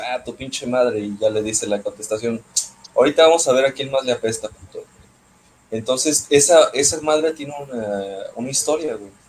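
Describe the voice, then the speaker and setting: Fairly quick male speech with big swings in loudness over noticeable background noise. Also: medium pitch for a man, ordinary pitch variation. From Mexico, Puerto Vallarta (Pacific coast). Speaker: podcast co-host. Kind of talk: casual chat.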